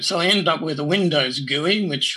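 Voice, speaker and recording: A man with an Australian accent has a bright, sharp tone and vocal fry. He speaks at a fairly slow pace with ordinary pitch variation. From New South Wales, Australia. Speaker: amateur radio astronomer. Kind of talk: interview.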